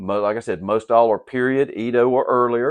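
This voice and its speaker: A man with a Southern US accent speaks at medium pitch and a moderate pace. The sound is dry and close with no echo, over a quiet background. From Southern United States. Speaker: gem cutter and sword polisher. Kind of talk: casual talk to camera. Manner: casual, hesitant.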